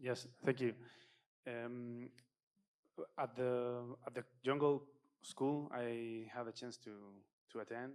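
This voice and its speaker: In a non-native accent, a man speaks at a very slow pace and medium pitch, with monotone, flat intonation and long, frequent pauses. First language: not English. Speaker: audience member asking a question. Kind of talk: audience question. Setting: conference talk with audience. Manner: halting, many fillers.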